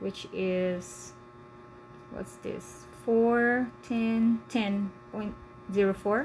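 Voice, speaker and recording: Speaking very slowly with long, frequent pauses, a woman of medium pitch lets her voice swing very widely. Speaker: tutor. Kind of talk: live one-on-one lesson. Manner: hesitant, with fillers.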